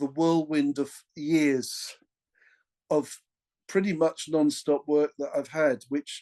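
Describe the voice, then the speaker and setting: Recorded in a dry, close sound with no echo, a man with an English accent speaks at a fairly high pitch. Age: 60s. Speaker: session drummer. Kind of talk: casual interview. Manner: halting, many restarts.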